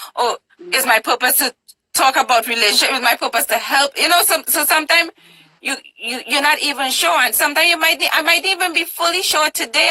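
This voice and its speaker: A woman uses a raised, projected voice at a high pitch. She talks at a fairly quick pace with ordinary pitch variation. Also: dry, close sound with no echo. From Trinidad and Tobago. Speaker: talk show host, interviewee. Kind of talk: interview. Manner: animated.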